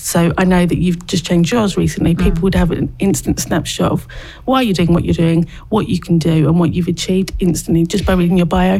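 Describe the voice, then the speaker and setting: Using an ordinary speaking voice, a woman talks at a fairly quick pace with a fairly low pitch, fairly even intonation and very even loudness. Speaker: social media expert. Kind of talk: interview. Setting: studio.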